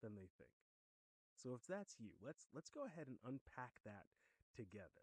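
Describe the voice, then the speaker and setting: Dark and mellow in tone, a man with an American accent speaks at a medium pitch, with very wide pitch swings. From Western New York. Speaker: podcast host, former pastor. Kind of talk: casual monologue. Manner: conversational, some stammering repeats.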